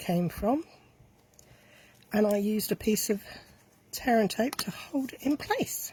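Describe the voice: A woman speaks slowly with lively intonation, her slightly mellow tone carrying a slightly husky edge.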